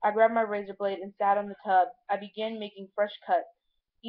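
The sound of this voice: With a quiet background behind it, the speech is in an unforced reading voice.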